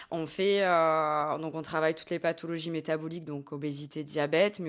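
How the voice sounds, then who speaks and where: A woman with a very deep, low pitch speaks at a fairly quick pace in a monotone, flat intonation over a quiet background. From southern France, Hérault. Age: 20s. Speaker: dietitian-nutritionist. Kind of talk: interview. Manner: hesitant, frequent fillers.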